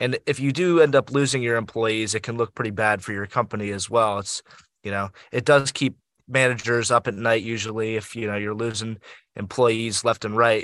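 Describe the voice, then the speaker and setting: A man with an American accent has an ordinary speaking voice at medium pitch, with fairly even intonation and a fairly quick pace. The sound is dry and close with no echo, over a quiet background. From Pittsburgh area, Pennsylvania. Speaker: student podcast co-host. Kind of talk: casual panel discussion.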